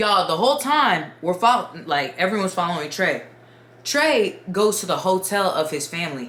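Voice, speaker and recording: Her pitch swinging very widely around a medium level, a woman speaks through noticeable background noise and audible room echo. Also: moderate pace. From Dominican Republic. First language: Spanish. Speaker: YouTuber storyteller. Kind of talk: casual storytime. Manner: animated.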